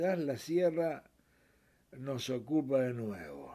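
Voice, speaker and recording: A man speaks at a very slow pace. His voice is fairly high-pitched, with a dark, mellow tone. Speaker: radio host. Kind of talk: radio sports show.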